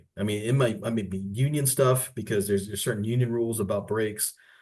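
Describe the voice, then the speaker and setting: A man with a plain, everyday voice speaks fairly quickly at a fairly low pitch with fairly even intonation. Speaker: workers compensation staff presenter. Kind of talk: webinar presentation. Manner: conversational.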